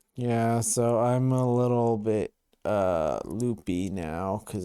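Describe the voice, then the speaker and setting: A man with a dark, mellow tone talks in a lively intonation on a very clean recording with a silent background. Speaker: podcast co-host. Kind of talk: casual chat. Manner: wacky, loopy.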